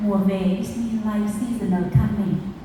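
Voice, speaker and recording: A woman talks at a very slow pace with fairly even intonation. Noticeable background noise and audible room echo run through the recording. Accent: Vietnamese. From Vietnam, rural province. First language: Vietnamese. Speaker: food movement founder. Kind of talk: conference talk. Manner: halting, with many fillers.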